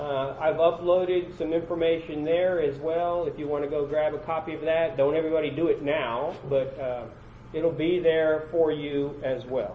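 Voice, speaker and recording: There is noticeable background noise as a man speaks at a moderate pace. His pitch is fairly high, his intonation fairly even. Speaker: conference presenter. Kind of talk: conference breakout session talk. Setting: conference room with audience. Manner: loud.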